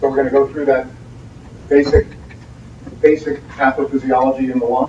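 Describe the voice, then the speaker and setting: The speaker has an American accent and talks at a moderate pace. Background noise is noticeable. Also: man. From US Northeast, New Jersey. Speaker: radiology lecturer. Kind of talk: lecture.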